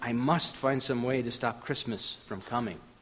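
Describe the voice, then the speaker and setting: Putting on a growling character voice, a man speaks at a moderate pace with a medium pitch. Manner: growling, grumpy.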